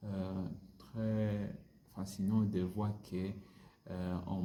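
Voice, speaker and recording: Speaking very slowly in a flat monotone with a non-native accent, a man with a very deep, low voice and a dark, mellow tone is heard with audible room echo. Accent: non-native French learner. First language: not French (speaking French). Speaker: French language learner vlogger. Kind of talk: casual language-practice monologue. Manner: halting, many hesitations and repetitions.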